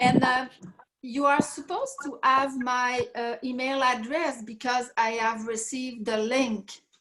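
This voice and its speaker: In a Quebec accent, a woman talks at a high pitch and a fairly slow pace. Her intonation is fairly even. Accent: French Canadian accent in English. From Quebec, Canada. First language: French. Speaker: participant in online group call. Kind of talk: casual group call conversation. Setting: group call. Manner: halting, many hesitations and repetitions.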